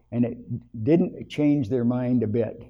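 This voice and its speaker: A man speaks with a Canadian accent at a medium pitch. His intonation stays fairly even, with music playing in the background. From Ontario, Canada. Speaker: interviewee in community project. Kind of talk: interview answers.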